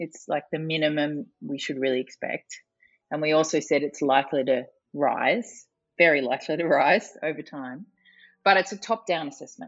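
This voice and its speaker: In an Australian accent, a woman with a very deep, low pitch speaks at a moderate pace with ordinary pitch variation. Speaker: climate policy expert. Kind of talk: interview.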